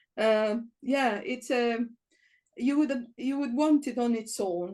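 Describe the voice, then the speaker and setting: With an Italian accent, a woman speaks in a dark, mellow tone. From Italy. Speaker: Bible college principal. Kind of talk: podcast interview.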